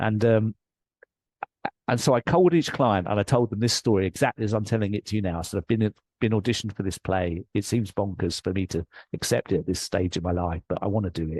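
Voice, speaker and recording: A man with an English accent talks at a very fast pace in a fairly low voice with ordinary pitch variation, sounding dry and close with no echo against a quiet background. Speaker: life coach and author. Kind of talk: interview storytelling. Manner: animated.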